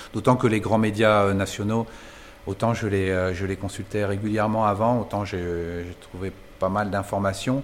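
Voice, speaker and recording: A man speaks in a fairly low voice at a fairly slow pace. His intonation is monotone and flat. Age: 50s. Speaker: bicycle saddle maker. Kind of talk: interview. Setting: workshop. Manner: halting, many hesitations.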